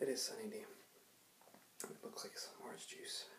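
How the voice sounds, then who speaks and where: A soft-spoken man talks at a fairly quick pace. Light background noise and audible room echo are present. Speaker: ASMR creator. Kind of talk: ASMR soft spoken talk to camera. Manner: soft-spoken, casual, hesitant. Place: home room. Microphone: webcam.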